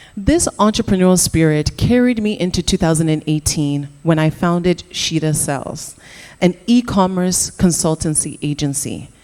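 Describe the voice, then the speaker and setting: Her voice has a dark, mellow tone, fairly low pitch for a woman and ordinary pitch variation. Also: moderate pace. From Canada. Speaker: entrepreneur. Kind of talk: conference talk.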